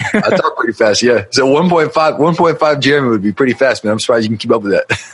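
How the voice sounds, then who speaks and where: With noticeable background noise behind him, a man speaks very fast at a fairly high pitch, with lively intonation and very even loudness. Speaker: marketing agency owner and business mentor. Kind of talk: podcast interview.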